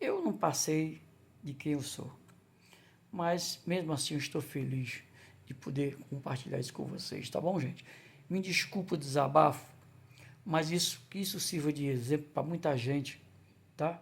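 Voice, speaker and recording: A somewhat breathy man at fairly high pitch, with ordinary pitch variation and long, frequent pauses. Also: fairly slow pace. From Ceará, Brazil (Crateús). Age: 60s. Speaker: vlogger, former construction worker and waiter. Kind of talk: personal testimony vlog. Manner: halting, with false starts.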